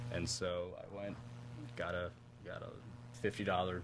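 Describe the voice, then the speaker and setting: A man's fairly low voice moves at a moderate pace, with ordinary pitch variation. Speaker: musician. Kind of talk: interview. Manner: halting.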